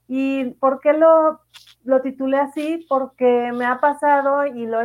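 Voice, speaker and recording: The intonation stays fairly even over a quiet background. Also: woman. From Mexico, Morelia. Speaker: podcast host and emotional coach. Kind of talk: casual live chat monologue. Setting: live stream. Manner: hesitant, repeats words.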